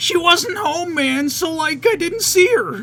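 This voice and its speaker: At a fairly slow pace, someone uses a put-on character voice pitched extremely high. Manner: relaxed, drawling.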